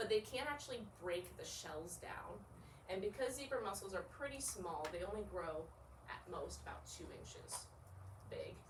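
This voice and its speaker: A woman speaks at a moderate pace with very wide pitch swings. Audible room echo and noticeable background noise are present. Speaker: artist-in-residence giving a talk. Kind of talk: public presentation. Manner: hesitant, many fillers.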